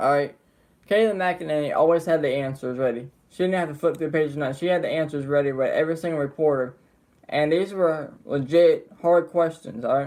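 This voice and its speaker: Delivered at a fairly quick pace, a man's voice has an American accent, a fairly high pitch and ordinary pitch variation. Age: young. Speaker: political commentary streamer. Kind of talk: live stream commentary. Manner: animated.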